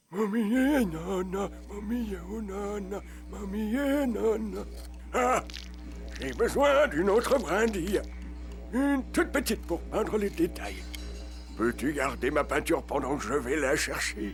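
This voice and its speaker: A man performs a cartoonish character voice at a fairly slow pace. He pauses long and often over clear background music. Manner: gentle, warm.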